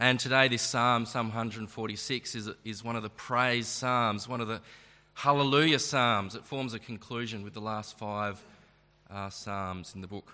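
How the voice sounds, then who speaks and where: A man with an Australian accent speaks at a fairly slow pace and medium pitch in a bright, sharp tone. His intonation stays fairly even while his loudness swings widely. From Tasmania, Australia (Launceston). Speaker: preacher. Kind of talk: sermon.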